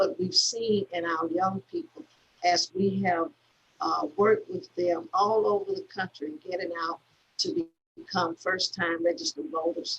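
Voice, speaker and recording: A woman speaks with an Alabama accent. Her pace is fairly slow. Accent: Southern US (Alabama). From US South, Selma, Alabama. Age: 60s. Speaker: civil rights activist. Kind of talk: conversation. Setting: video call. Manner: halting, many fillers and repeats.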